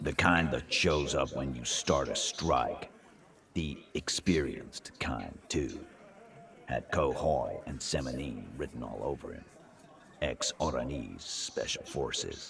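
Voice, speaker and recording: A man uses a put-on character voice, very deep and low in pitch, at a fairly slow pace. Clear background noise is present. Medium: video game. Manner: swaggering, coarse, unrepentant.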